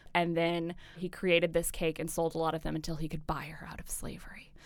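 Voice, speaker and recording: Speaking fairly quickly, a woman is heard in a very clean recording against a silent background. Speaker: food tour company founder. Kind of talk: casual interview chat. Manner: fast talker.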